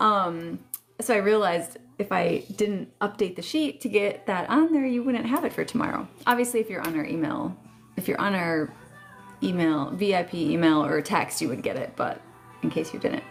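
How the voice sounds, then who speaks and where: A woman's medium-pitched voice at a moderate pace, swinging very widely in pitch, with music in the background. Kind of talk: casual live stream chat. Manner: chatty, hesitant with fillers.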